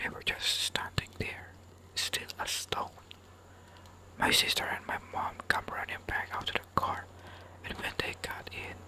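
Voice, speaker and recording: With long, frequent pauses, a whispering voice moves at a fairly slow pace as noticeable background noise continues. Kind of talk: reading scary stories from an online forum. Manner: whispered.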